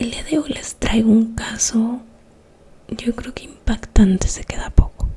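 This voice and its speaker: A soft-spoken woman at a fairly slow pace, fairly even in intonation, over noticeable background noise. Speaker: ASMR creator, true crime storyteller. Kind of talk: whispered ASMR true-crime narration. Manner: soft-spoken, slow.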